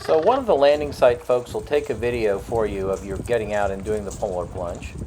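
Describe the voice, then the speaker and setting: Noticeable background noise sits behind this recording. A man talks with lively intonation at a fairly low pitch. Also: fairly quick pace. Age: 60s. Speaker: travel vlogger. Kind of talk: travel vlog narration.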